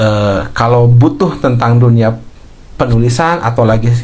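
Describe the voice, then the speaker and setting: A man speaks at a fairly slow pace. The room echo is audible and the background noise is noticeable. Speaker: writing coach and content creator. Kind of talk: live stream talk. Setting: live stream. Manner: halting.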